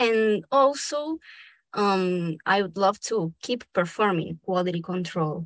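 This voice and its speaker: A woman with a Spanish accent speaks at a very slow pace with lively intonation. The sound is dry and close with no echo, over a quiet background. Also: medium pitch for a woman. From Argentina, raised in Brazil. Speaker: dubbing actor and director, fellowship recipient. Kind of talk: casual interview conversation.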